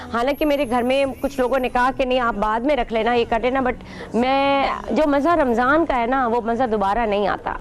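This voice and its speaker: A woman's high voice at a moderate pace, over noticeable background noise. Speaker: TV host. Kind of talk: religious TV monologue. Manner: animated.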